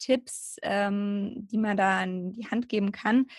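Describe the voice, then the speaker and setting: A woman's somewhat breathy, fairly high voice with fairly even intonation on a very clean recording with a silent background. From southern Germany, near Heidelberg. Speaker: personal trainer and yoga teacher. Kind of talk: casual interview.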